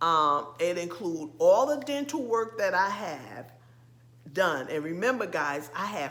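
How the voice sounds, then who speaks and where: A woman's medium-pitched voice with a bright, sharp tone, very slow pace, very wide pitch swings and audible room echo. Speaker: lifestyle vlogger. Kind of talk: casual vlog talk. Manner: hesitant, many fillers.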